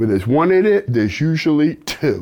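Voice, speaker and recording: An American accent marks this man's speech. His tone is animated, and his pace is fairly slow. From New York. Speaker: self-defense instructor. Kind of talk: instructional video.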